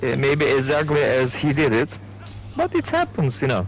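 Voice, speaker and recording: Noticeable background noise runs behind a man speaking with a non-native accent. His pitch is fairly high. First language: not English. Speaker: gamer. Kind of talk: casual chat. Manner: halting.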